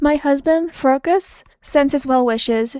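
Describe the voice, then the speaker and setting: The speaker uses a put-on character voice. The delivery moves at a fairly slow pace. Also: woman, high pitch for a woman. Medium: read story. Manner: drawn out, teasing.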